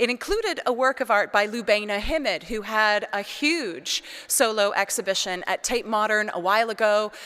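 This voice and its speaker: Loud and lively, a woman with a Canadian accent speaks in a bright, sharp tone at a fairly high pitch. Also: very clean recording, silent background. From Canada, British Columbia. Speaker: priest and art historian. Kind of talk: lecture. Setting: cathedral with audience.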